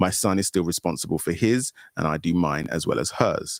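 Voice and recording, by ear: A man talks at a fairly quick pace with lively intonation and some vocal fry. The sound is dry and close with no echo, in a very clean recording over a silent background.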